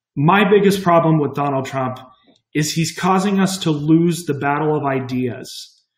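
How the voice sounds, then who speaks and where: With an American accent, a man speaks at a moderate pace, and audible room echo surrounds his voice. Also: ordinary pitch variation. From Kansas. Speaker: Republican campaign volunteer. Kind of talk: personal testimony. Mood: earnest, concerned. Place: home room. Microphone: webcam.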